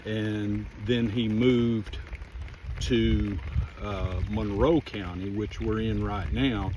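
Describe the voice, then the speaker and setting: Over noticeable background noise and audible room echo, a man talks very slowly at a fairly low pitch with lively intonation. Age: 60s. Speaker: family history vlogger. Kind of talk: casual vlog narration. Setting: outdoors.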